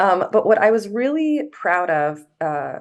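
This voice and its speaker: The speaker is a woman with an American accent. The background is quiet. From US South. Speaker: journalist. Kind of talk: panel discussion. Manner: halting, many filler words.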